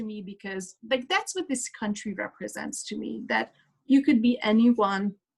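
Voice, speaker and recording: In a Hungarian accent, a woman with a fairly high pitch and a somewhat breathy voice talks at a fairly slow pace with lively intonation. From Hungary. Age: 30s. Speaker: speaker. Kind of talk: testimony.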